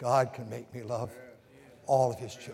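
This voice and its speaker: At a moderate pace, a man talks in a medium pitch. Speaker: pastor. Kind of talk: sermon. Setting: church pulpit. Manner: fervent preaching.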